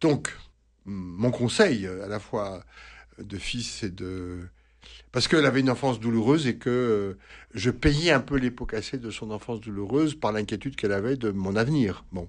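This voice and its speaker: Over a quiet background, a man speaks at a moderate pace and medium pitch, with ordinary pitch variation and big swings in loudness. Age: 60s. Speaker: priest and psychoanalyst. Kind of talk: radio advice answering listener questions. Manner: halting, many hesitations and repetitions.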